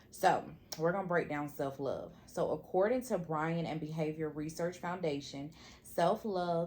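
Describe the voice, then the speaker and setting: A plain, everyday voice from a woman, pitched fairly low, moderate in pace, its pitch varying in an ordinary way. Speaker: podcast co-host. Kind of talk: casual chat.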